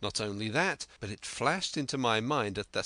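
Pitch varies in an ordinary way throughout this unforced reading voice.

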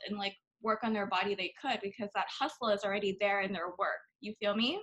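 A woman with an American accent, an unremarkable speaking voice, fairly high pitch and a fairly quick pace. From Thailand (Bangkok), American school. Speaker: fitness influencer and podcast host. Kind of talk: casual interview chat.

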